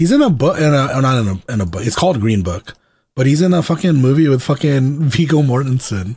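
A man's somewhat breathy, dark, mellow voice at a medium pitch, very fast and with lively intonation, in an American accent. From US South (Georgia). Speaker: podcast co-host. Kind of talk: casual chat. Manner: casual, filler-heavy.

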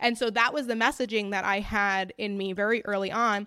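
A woman speaks in a fairly high voice. Her tone is bright and sharp, with ordinary pitch variation. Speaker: registered dietitian. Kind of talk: interview.

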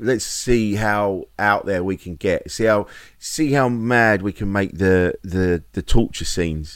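Speaking very slowly, a man uses a fairly low pitch with ordinary pitch variation. The recording is very clean, with a silent background. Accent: English. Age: 50s. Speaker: comedian and podcast co-host. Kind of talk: casual chat.

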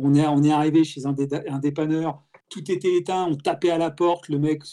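At a fairly slow pace, a man with a fairly high pitch and a dark, mellow tone speaks in a monotone, flat intonation. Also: very clean recording, silent background. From France, Alsace (Strasbourg). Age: 50s. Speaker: automotive industry executive. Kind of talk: casual interview. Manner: halting, many fillers and repetitions.

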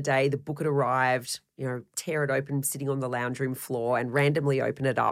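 On a very clean recording with a silent background, a woman talks at a very fast pace in a very deep, low pitch. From Australia, Melbourne. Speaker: baker, former racing engineer. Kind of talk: interview.

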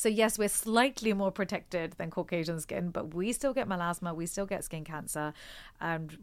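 Delivered at a fairly quick pace, this is an ordinary speaking voice with ordinary pitch variation. The recording is very clean, with a silent background. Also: woman. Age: 40s. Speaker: doctor and cosmetic formulator. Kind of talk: casual chat.

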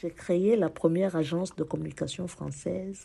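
Somewhat breathy, a woman speaks slowly in a very deep, low voice. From France, Paris. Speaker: parliamentary candidate. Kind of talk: prepared speech. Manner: formal.

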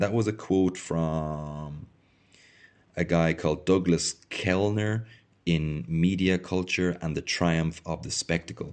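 A man with an Irish accent speaks very slowly in a very deep, low voice. His pitch varies in an ordinary way against a quiet background. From Ireland. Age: 30s. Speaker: podcaster. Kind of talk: reading aloud and discussing own thesis. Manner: hesitant, many fillers.

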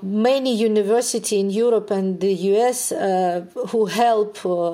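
A woman speaks with a Ukrainian accent and fairly even intonation. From Ukraine. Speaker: neuroscientist. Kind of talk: interview.

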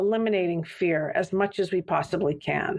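In an American accent, a woman with an ordinary speaking voice and medium pitch talks at a moderate pace. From US Southwest, Santa Fe, New Mexico. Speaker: company executive in people and culture. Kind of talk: podcast interview.

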